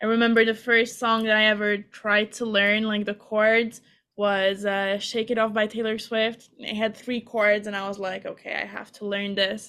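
With a Hungarian accent, a woman speaks in a fairly high pitch and a bright, sharp tone, at a moderate pace with hardly any pauses and a monotone, flat intonation, on a very clean recording with a silent background. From Hungary. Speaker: singer-songwriter. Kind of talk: interview.

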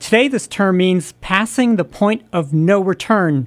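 On a very clean recording with a silent background, a woman with an unremarkable speaking voice talks at a fairly slow pace, at medium pitch, with ordinary pitch variation. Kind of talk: radio DJ patter: back-announcing tracks, music news chat, station ID and sign-off. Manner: relaxed, warm, conversational, chatty, with easy station-host cheer; smooth, steady, unhurried, brisk teasers before breaks.

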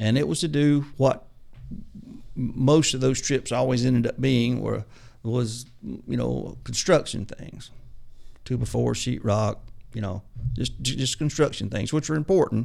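A man's fairly slow, medium-pitched voice with a Southern US accent, vocal fry, ordinary pitch variation and long, frequent pauses. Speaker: auto mechanic turned ministry mechanical trainer.

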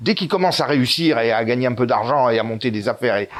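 A man talks at a very fast pace. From Corsica and Italy. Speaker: author and YouTuber. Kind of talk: interview.

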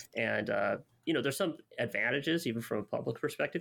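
A man with an American accent and vocal fry, ordinary pitch variation, on a very clean recording with a silent background. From Southern California, Los Angeles. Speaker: sociologist podcast co-host. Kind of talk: casual discussion.

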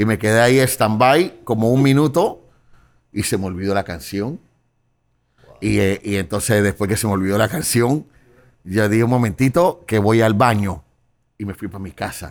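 A man with a fairly low pitch talks at a moderate pace, pausing long and often. His loudness swings widely while his pitch varies in an ordinary way. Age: 40s. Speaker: podcast co-host. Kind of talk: casual chat.

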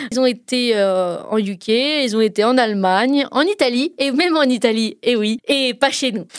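A woman talks at a moderate pace in a high-pitched voice with lively intonation. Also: hardly any pauses. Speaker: radio music columnist. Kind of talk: radio chronicle, casual presentation. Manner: animated.

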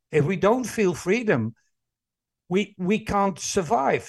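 A man speaks with a Dutch accent in a high voice. His pace is fairly slow and his intonation lively. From Netherlands. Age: 60s. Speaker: employee engagement consultant and speaker. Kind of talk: interview conversation.

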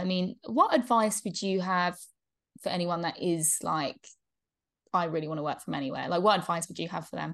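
A woman's medium-pitched voice with ordinary pitch variation at a fairly quick pace over a quiet background. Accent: English. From England. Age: 20s. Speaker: podcast host. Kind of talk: casual interview chat.

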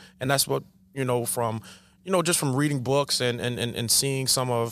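In a Long Island accent, a man talks at a very fast pace. His medium pitch carries fairly even intonation. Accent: New York (Long Island). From Long Island, New York. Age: 40s. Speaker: basketball coach. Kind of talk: casual chat.

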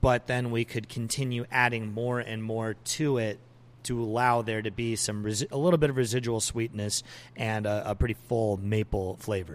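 A man speaks at a moderate pace with a normal speaking voice, his pitch medium. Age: 20s. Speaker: brewery owner. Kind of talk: interview. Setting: brewery.

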